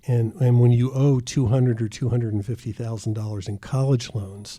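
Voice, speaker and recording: With a dark, mellow, somewhat breathy tone, a man speaks at medium pitch with fairly even intonation. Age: 70s. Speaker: retired optometrist. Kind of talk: interview.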